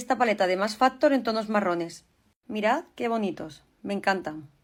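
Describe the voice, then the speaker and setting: A woman with an Andalusian accent at a fairly high pitch, ordinary pitch variation and a moderate pace, in a very clean recording with a silent background. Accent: Andalusian, Sevillian. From Seville, Spain. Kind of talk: casual vlog, makeup tutorial.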